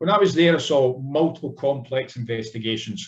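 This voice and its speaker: A man speaks with a Scottish accent at a moderate pace. His pitch is fairly high, somewhat breathy, with ordinary pitch variation. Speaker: cybersecurity executive, former police officer. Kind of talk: conference panel talk. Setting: conference panel session. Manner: formal.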